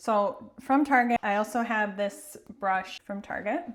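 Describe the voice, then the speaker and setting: A strong Minnesota accent at a fairly slow pace with ordinary pitch variation. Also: woman. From US Midwest, Minnesota. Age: 40s. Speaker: singer-songwriter, makeup vlogger. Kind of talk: tutorial. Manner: casual, chatty.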